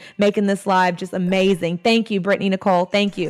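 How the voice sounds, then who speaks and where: Music plays in the background as a woman speaks in an animated tone at a fairly quick pace. Her pitch is medium. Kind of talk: live stream teaching session. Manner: loud.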